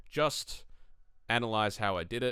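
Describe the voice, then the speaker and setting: In an Australian accent, a man speaks with a bright, sharp tone on a very clean recording with a silent background. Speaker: tabletop wargaming youtuber. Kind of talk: tutorial. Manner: casual, lots of fillers.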